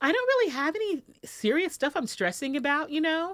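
The recording is very clean and the background silent. A woman delivers her words at a fairly quick pace. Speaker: podcast host and radio personality. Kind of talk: casual chat. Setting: studio. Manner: halting.

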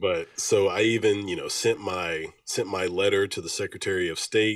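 A man with a Southern US accent, at a fairly slow pace. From Alabama. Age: 20s. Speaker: music label owner and military veteran. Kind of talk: casual interview.

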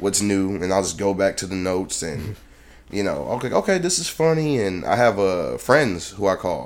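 A man with an ordinary speaking voice and an American accent talks at a moderate pace, his fairly low pitch carried by lively intonation. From Detroit, Michigan, US Midwest. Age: 20s. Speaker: comedian. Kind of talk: casual chat. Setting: studio.

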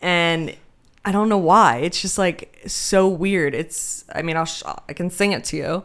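A woman with a normal speaking voice and an American accent talks at a fairly slow pace, her pitch fairly low with ordinary variation, on a very clean recording with a silent background. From Denmark, then back in the US from age nine. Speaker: podcast guest, friend of the host. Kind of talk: casual chat.

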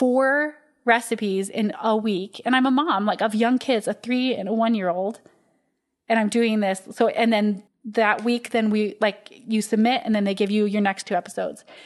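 A woman with an American accent and an unremarkable speaking voice, fairly high in pitch, with fairly even intonation at a fairly quick pace. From Utah. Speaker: baker and bakery owner. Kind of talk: casual interview chat.

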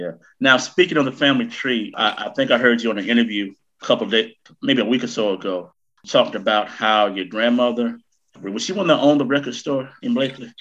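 In a Southern US accent, a man speaks at a very fast pace with a medium pitch and ordinary pitch variation. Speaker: podcast host. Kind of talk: casual chat. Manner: animated.

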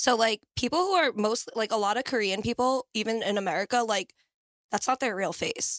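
An ordinary speaking voice from a woman, fairly high in pitch with ordinary pitch variation, at a fairly quick pace, dry and close with no echo, in a very clean recording with a silent background. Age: 20s. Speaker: nanny. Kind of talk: casual chat.

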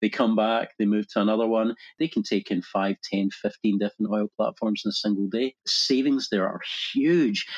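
A man speaks with a Scottish accent at very even loudness. The sound is dry and close with no echo. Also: medium pitch for a man, ordinary pitch variation, moderate pace. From Scotland. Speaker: digital media agency founder. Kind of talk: casual interview.

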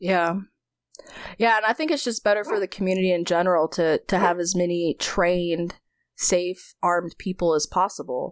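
A woman with an American accent and a fairly low voice speaks at a moderate pace with very even loudness, in a very clean recording with a silent background and a dry, close sound with no echo. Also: fairly even intonation. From North Carolina. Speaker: firearms company employee. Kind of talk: casual chat. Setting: at home in bed.

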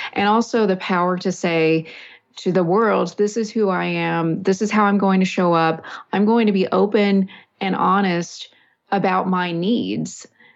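A woman with an American accent has an ordinary speaking voice, her loudness very even against a quiet background. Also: medium pitch for a woman. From West Texas (Snyder). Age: 40s. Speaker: author and martial arts practitioner. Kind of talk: interview, personal testimony.

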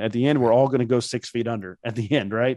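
A man with a Midwestern American accent, a medium pitch, ordinary pitch variation and a fairly quick pace, against a quiet background. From Indiana. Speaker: professional speaker and author. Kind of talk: interview conversation.

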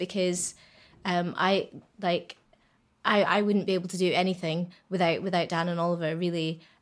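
Her pace is moderate. The woman's pitch sits in the medium range. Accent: Scottish. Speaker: singer in a band. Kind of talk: casual chat. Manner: halting, fillers.

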